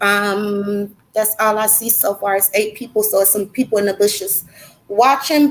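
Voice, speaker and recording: A woman with an American accent and a fairly high pitch speaks at a moderate pace with ordinary pitch variation, in a normal speaking voice. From California. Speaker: online interview host. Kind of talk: casual interview.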